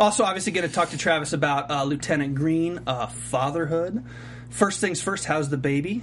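A man with an ordinary speaking voice and fairly high pitch speaks at a fairly quick pace with ordinary pitch variation. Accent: American. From US South, Charlotte. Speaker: TV aftershow host. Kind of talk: casual interview chat. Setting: studio.

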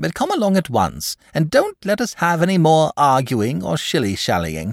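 A man's put-on character voice, fairly high-pitched with very wide pitch swings and vocal fry, at a moderate pace in a very clean recording with a silent background and a dry, close sound with no echo

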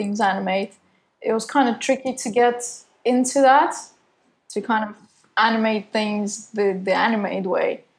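A woman talks at a fairly slow pace, her fairly high pitch showing ordinary variation. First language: not English. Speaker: designer and animator. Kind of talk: casual interview.

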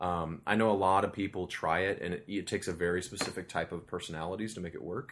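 Very deep and low, a man's voice rushes along at a very fast pace. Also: fairly even intonation, hardly any pauses. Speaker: TV series creator. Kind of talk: casual interview chat.

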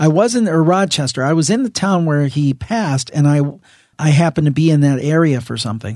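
Against a quiet background, a man with a plain, everyday voice speaks fairly quickly at a fairly high pitch with lively intonation. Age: 40s. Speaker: podcast host interviewing guests. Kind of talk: casual interview chat.

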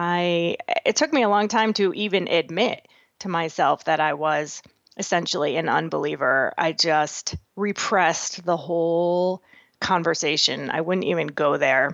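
A woman with an American accent and an unremarkable speaking voice speaks at a fairly slow pace, her fairly low pitch showing ordinary variation against a quiet background. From Massachusetts, New England. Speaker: author. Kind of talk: interview testimony.

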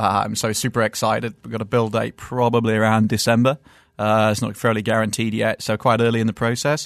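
With a British accent, a man talks at a fairly quick pace in monotone, flat intonation, in a dry, close sound with no echo against a quiet background. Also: medium pitch for a man. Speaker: car journalist. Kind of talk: casual chat. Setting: studio.

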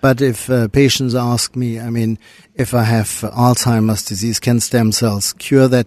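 In a German accent, a man speaks fairly slowly at a medium pitch, his intonation monotone and flat. The sound is dry and close, with no echo. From Germany. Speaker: cardiologist. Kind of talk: interview.

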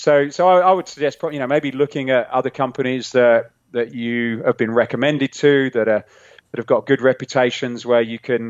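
With a British accent, a man speaks at a fairly quick pace and medium pitch. His intonation is fairly even, and the sound is dry and close with no echo. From England. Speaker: fitness equipment entrepreneur. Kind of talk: interview.

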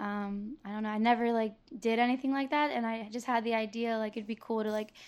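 The speech moves at a fairly quick pace in a monotone, flat intonation over a quiet background. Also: woman. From Tampa, Florida. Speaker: DJ and rapper. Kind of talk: casual interview. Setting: coffee shop.

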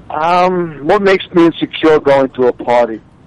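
Against noticeable background noise, a man with a Long Island accent talks at a moderate pace in a fairly high pitch. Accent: Long Island New York. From Long Island, New York. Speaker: reality TV cast member. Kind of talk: interview. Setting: phone call.

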